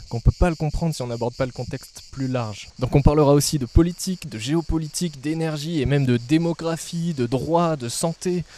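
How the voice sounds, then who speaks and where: A man talks at a fairly quick pace with ordinary pitch variation. His tone is dark and mellow, and the sound is dry with no echo. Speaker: agronomy student, channel creator; channel creator. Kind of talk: scripted channel presentation. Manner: casual, direct address to viewer. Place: garden. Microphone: handheld.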